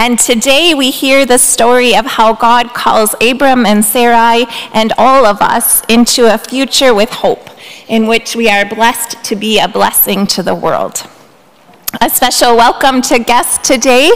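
Speaking at a fairly slow pace, a woman keeps her intonation fairly even and her loudness very even. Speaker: pastor. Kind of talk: church announcements and welcome. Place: church. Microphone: podium.

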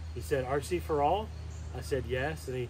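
Noticeable background noise sits behind a man's somewhat breathy voice. His pitch swings very wide. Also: dry sound with no echo. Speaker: RC hobby channel host. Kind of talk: casual vlog chat. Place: waterside. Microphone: camera far.

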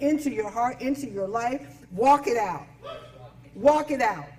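Against light background noise, a woman talks at a fairly slow pace with a high pitch. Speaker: pastor. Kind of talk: sermon. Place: church.

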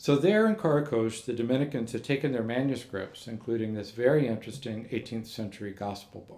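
In an American accent and a dark, mellow tone, the speaker moves at a fairly quick pace with hardly any pauses, ordinary pitch variation and big swings in loudness. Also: man. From Texas. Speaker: monk and manuscript scholar; invited lecturer. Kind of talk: lecture; Q&A answer. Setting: lecture hall with audience. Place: hall. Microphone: podium.

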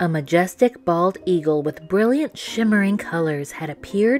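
Reading aloud, plain

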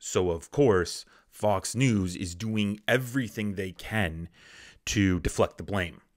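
Against a quiet background, a man talks at a fairly slow pace with a fairly low pitch and ordinary pitch variation. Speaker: political commentator. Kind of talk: angry political rant. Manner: indignant, scornful, loud and accusatory; sarcastic, heated, emphatic. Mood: sarcastic, critical. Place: home room. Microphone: studio mic.

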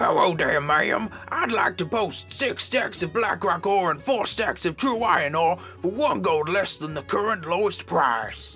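A man's high-pitched voice at a moderate pace, with lively intonation, hardly any pauses and clear music in the background. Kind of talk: comic machinima voice acting. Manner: brash, hot-tempered, swearing.

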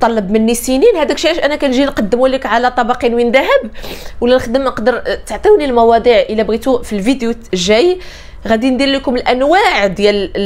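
A woman talks at a moderate pace with a high pitch. Her intonation is lively. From Morocco. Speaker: life coach. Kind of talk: motivational talk to camera. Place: home room.

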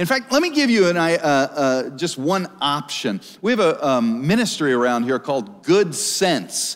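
The man's pitch swings very widely while he talks at a fairly slow pace. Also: fairly high pitch for a man. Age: 40s. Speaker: pastor. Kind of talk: sermon. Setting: church stage with live audience. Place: church.

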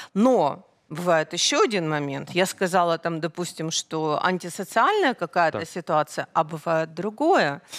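Against a quiet background, a woman speaks fairly slowly at a fairly low pitch with ordinary pitch variation. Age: 50s. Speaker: guest. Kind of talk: studio interview. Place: studio. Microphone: headset.

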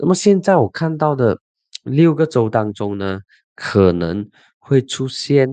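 Very slowly, a man speaks with very wide pitch swings in a dry sound with no echo over a quiet background. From Malaysia. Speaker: political commentator and podcast host; political commentator, podcast host. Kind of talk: solo political commentary. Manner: casual, animated. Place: studio. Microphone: studio mic.

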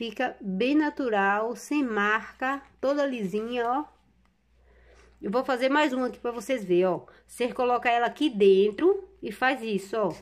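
In a very clean recording with a silent background, a woman speaks at a high pitch with ordinary pitch variation. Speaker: craft tutorial creator. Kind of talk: tutorial. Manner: casual, conversational.

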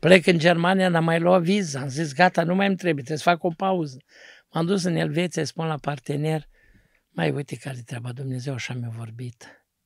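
A man's plain, everyday voice, fairly high in pitch with ordinary pitch variation and big swings in loudness, at a moderate pace, in a dry sound with no echo over a quiet background. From Romania, Neamț county (Moldavia); Romania. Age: 60s. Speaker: pastor. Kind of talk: testimony. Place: studio. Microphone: studio mic.

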